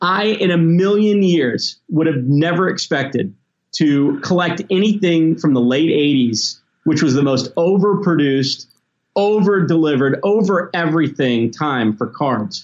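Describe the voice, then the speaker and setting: A man with an American accent and a high voice speaks fairly slowly with lively intonation. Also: very even loudness. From US South (Tennessee and Mississippi). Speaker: toy company executive. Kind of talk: interview.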